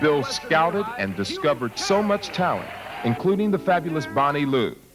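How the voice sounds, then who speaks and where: Very wide pitch swings and very even loudness in an American accent, at a moderate pace, with audible room echo and music in the background. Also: man, fairly high pitch for a man. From Pittsburgh, western Pennsylvania. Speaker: broadcaster presenting awards. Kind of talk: awards ceremony tribute speech. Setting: theater stage with audience.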